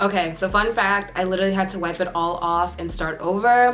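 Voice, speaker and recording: With music playing in the background and audible room echo, a woman talks at a medium pitch with ordinary pitch variation. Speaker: beauty vlogger. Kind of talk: tutorial. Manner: fast; casual, chatty.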